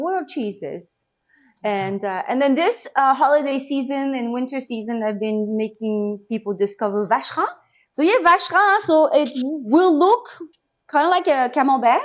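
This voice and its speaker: Her voice high in pitch and swinging very widely, a woman speaks at a moderate pace. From Normandy, France. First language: French. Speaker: cheesemonger. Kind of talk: interview answer.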